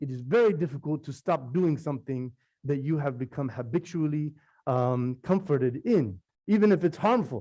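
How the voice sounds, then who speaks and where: Over a quiet background, a dark, mellow voice moves at a moderate pace with lively intonation. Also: man. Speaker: imam. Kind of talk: Friday sermon (khutbah). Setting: mosque.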